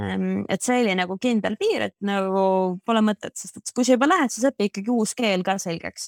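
In a dry, close recording with no echo, a woman speaks in a plain, everyday voice with ordinary pitch variation and big swings in loudness. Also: medium pitch for a woman, very clean recording, silent background. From Estonia. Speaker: former exchange student. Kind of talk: interview.

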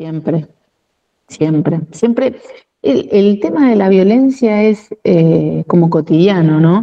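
The woman talks at a very slow pace. Her intonation stays lively throughout. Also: medium pitch for a woman, very even loudness. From Argentina, La Plata. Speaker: union leader and administrative worker. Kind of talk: interview.

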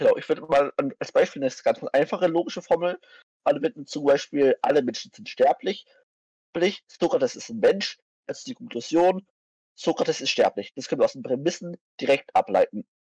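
With long, frequent pauses and big swings in loudness, a man speaks at a fairly quick pace in a dry, close sound with no echo. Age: 20s. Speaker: vegan activist, philosophy enthusiast. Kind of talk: casual chat about philosophy.

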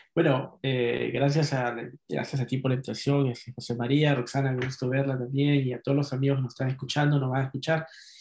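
Speaking at a fairly quick pace, a man uses medium pitch and monotone, flat intonation. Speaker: poet and novelist. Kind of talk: casual chat.

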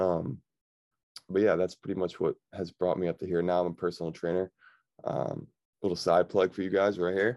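A man's very deep, low voice, fairly quick yet broken by long, frequent pauses, monotone and flat, with a dry, close sound and no echo. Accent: American. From Victor, New York. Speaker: personal trainer and former college football player. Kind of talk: casual chat.

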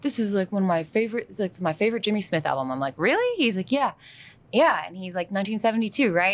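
A woman at a medium pitch, talking at a fairly quick pace with lively intonation amid noticeable background noise. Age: 30s. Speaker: podcaster. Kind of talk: casual chat.

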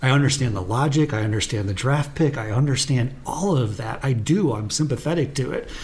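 Against noticeable background noise, the speech moves at a fairly quick pace with ordinary pitch variation. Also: man, medium pitch for a man. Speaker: sports podcast co-host. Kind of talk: casual chat. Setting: in person, same room.

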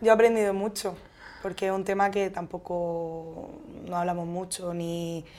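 Her tone dark and mellow, a woman speaks at a fairly slow pace with monotone, flat intonation. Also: medium pitch for a woman. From Spain, Murcia. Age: 30s. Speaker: schoolteacher. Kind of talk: casual interview.

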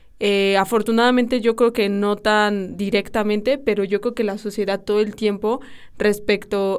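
At a moderate pace, a woman with a medium pitch talks in a flat monotone, recorded very cleanly against a silent background. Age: 20s. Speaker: podcast host, university student. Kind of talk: casual chat.

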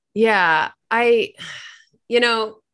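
A woman with an American accent speaks in a fairly high, bright, sharp voice. The background is quiet. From Virginia, US. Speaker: podcast panelist. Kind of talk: casual chat.

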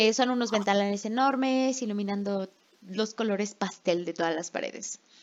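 At a moderate pace, a woman with a plain, everyday voice talks at medium pitch with ordinary pitch variation. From Mexico. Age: 20s. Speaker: podcast co-host, English teacher. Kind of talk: casual chat.

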